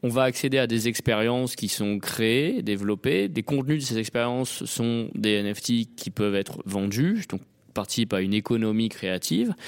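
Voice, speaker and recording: Moving at a moderate pace, a man has an ordinary speaking voice at medium pitch with ordinary pitch variation. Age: 30s. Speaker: tech entrepreneur. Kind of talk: interview. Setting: at a conference.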